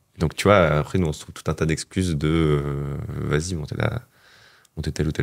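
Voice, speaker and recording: A man speaks at a very deep, low pitch. His pace is moderate and his pitch variation ordinary. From southern France. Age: 30s. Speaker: adventurer and author. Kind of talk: casual interview. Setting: studio.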